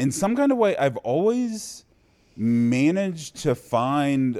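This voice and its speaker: Over a silent background in a very clean recording, a man with an American accent and a dark, mellow tone makes very wide pitch swings. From US Midwest, Cincinnati, Ohio. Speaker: poker player and vlogger. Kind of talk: casual chat. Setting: studio.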